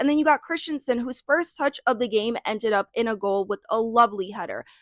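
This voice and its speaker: With an American accent, a woman talks in a normal speaking voice at a fairly high pitch and a fairly quick pace, her intonation lively and the sound dry and close with no echo. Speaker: football content creator. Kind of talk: solo video commentary, match preview. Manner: casual, filler-heavy.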